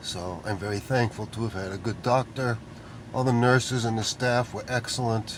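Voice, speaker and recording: Medium-pitched male voice at a moderate pace with fairly even intonation, noticeable background noise behind it. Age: 60s. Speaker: video blogger. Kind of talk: casual vlog monologue. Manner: hesitant with fillers.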